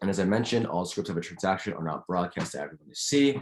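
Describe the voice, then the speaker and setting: At a very fast pace, a man speaks with a very deep, low pitch against a quiet background. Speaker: student lecturer. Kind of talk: lecture.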